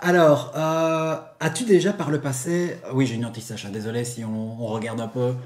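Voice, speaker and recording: Moderately paced male speech, medium in pitch with ordinary pitch variation, plus audible room echo. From Belgium. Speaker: YouTuber, figure collector channel host. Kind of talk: casual interview.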